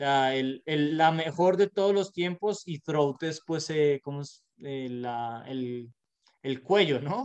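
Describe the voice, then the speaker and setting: The delivery is very slow, with a dry, close sound and no echo. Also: man, fairly high pitch for a man, ordinary pitch variation. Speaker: podcast co-host. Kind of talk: casual chat.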